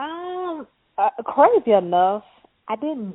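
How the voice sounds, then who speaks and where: A woman's very slow speech in a strong Mississippi accent, with very wide pitch swings. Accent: Mississippi Southern, strong. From Mississippi, US South. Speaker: tech entrepreneur. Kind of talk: casual interview.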